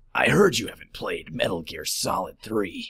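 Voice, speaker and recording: Using a raspy, put-on character voice, a man speaks at a moderate pace. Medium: voice reel. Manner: terse, deadpan.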